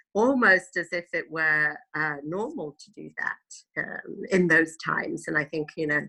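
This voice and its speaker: Speaking fairly slowly with a British accent, a woman has a very deep, low pitch, a bright, sharp tone and ordinary pitch variation. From England, moved from Italy at five. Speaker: tour guide. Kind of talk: interview. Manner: hesitant, many fillers.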